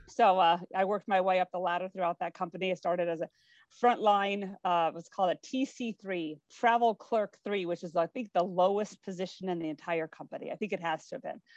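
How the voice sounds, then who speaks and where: A woman with an American accent, an ordinary speaking voice, medium pitch and fairly even intonation, at a fairly quick pace with big swings in loudness, in a dry, close sound with no echo against a quiet background. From US Pacific Northwest, Spokane, Washington. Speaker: cruise company executive. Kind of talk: interview.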